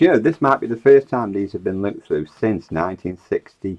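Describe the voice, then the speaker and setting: With an English accent, a man speaks at a fairly quick pace in a dry, close sound with no echo. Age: 60s. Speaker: online seller. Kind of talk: casual commentary while flicking through magazines. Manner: casual, chatty.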